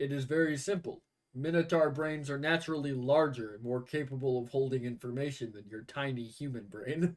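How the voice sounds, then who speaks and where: Using a put-on character voice, a man talks at a medium pitch and a fairly quick pace. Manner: matter-of-fact, condescending.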